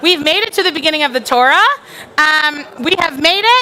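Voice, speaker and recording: A woman's voice, raised and projected, sits at an extremely high pitch with very wide pitch swings. She talks at a fairly quick pace. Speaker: clergy leading service. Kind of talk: congregational teaching at celebration. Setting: synagogue sanctuary with crowd and band. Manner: loud; chatty.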